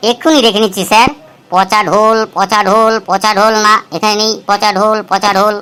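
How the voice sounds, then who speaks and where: A woman puts on a cartoonish character voice at a medium pitch. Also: moderate pace. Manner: nervous, worried.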